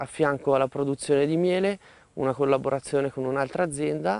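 In a dry recording with no echo, a man speaks at a fairly high pitch with ordinary pitch variation. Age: 30s. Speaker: beekeeper. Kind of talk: interview. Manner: halting, with frequent hesitations. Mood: calm, friendly. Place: farm. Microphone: lapel.

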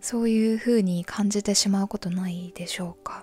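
A woman's calm, somewhat breathy voice with a dark, mellow tone, recorded dry and close with no echo. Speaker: mental health radio host. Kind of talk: sleep-inducing confessional radio talk. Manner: soft, calm, conversational.

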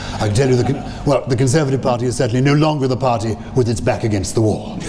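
A man keeps fairly even intonation while noticeable background noise carries on. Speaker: former politician and after-dinner speaker. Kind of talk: after-dinner speech to a live audience. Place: hall. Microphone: podium.

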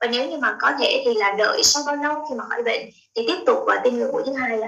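A woman's voice at a fairly quick pace against a quiet background. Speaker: health talk show host. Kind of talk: interview. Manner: formal. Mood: polite, measured. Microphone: video call.

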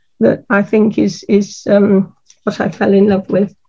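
A woman at a fairly high pitch, dark and mellow in tone with vocal fry, talking at a fairly slow pace over a quiet background. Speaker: botanical artist. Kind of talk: art demonstration. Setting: video call. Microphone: video call.

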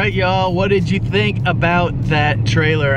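At a moderate pace, a voice comes through dry and echo-free over loud background noise. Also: man. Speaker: RV travel vlogger. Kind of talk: casual vlog chat. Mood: upbeat, pleased. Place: car. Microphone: phone near.

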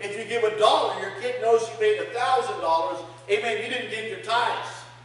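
Amid strong room echo, a man speaks at an extremely high pitch and fairly quick pace in an animated tone, his loudness swinging widely. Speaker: pastor. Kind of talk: sermon. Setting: church with congregation. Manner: animated, call-and-response preaching with frequent amens. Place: church. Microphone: camera far.

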